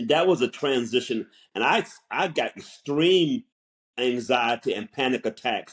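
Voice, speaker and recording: Speaking with an American accent, a man uses lively intonation at a medium pitch and a fairly slow pace. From US South. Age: 60s. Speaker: counselor and podcast co-host. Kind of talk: casual chat. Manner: halting.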